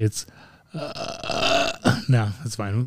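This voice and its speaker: A man's voice at a medium pitch, somewhat breathy with a dark, mellow tone. The sound is dry and close, with no echo. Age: 40s. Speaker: podcast co-host. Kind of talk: casual chat.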